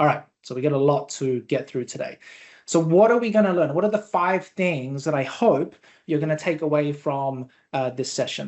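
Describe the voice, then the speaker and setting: A man's lively intonation at a moderate pace. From Australia. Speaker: software company presenter. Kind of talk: webinar presentation. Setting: live online webinar. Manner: casual, filler-heavy.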